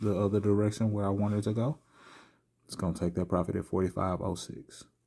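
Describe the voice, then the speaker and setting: Soft-spoken, a man with a very deep, low pitch and a dark, mellow tone talks at a very fast pace with fairly even intonation on a very clean recording with a silent background. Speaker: trading video creator. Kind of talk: live trading commentary. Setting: at home late at night.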